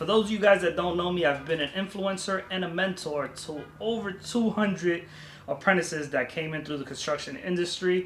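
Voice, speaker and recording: Fairly quick, high-pitched male speech with ordinary pitch variation over noticeable background noise. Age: 30s. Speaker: vlogger, student pilot. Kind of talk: vlog tutorial. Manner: casual.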